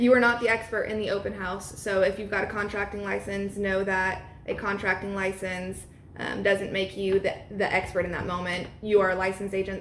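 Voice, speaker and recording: Flat, monotone speech from a woman at medium pitch and a fairly quick pace, with noticeable background noise and audible room echo. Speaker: real estate agent and trainer. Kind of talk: training talk. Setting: at an open house. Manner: fast.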